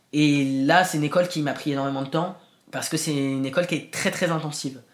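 A man talks at a very fast pace with a fairly high pitch and fairly even intonation. The recording is very clean, with a silent background. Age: 20s. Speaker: actor. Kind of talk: testimony. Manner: hesitant.

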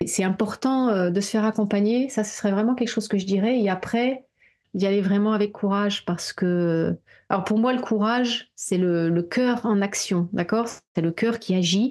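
Against a quiet background, an unremarkable speaking voice talks at a moderate pace with fairly even intonation. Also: woman, medium pitch for a woman. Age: 40s. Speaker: therapist and coach. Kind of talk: casual chat.

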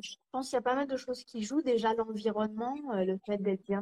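A woman's dark, mellow tone at a moderate pace with fairly even intonation, in a dry, close sound with no echo. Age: 30s. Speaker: cancer survivor and author. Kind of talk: casual interview. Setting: live video stream.

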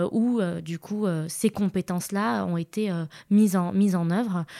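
On a very clean recording with a silent background, a woman speaks at a very slow pace in a dark, mellow tone. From Morocco, Casablanca. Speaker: HR manager. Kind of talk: interview conversation.

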